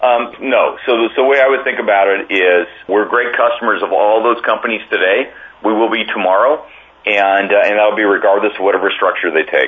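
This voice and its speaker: A man talks with an American accent at a very even loudness. Noticeable background noise can be heard. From US, Oregon. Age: 50s. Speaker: agricultural cooperative CEO. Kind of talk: interview. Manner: halting, many fillers and repeated words.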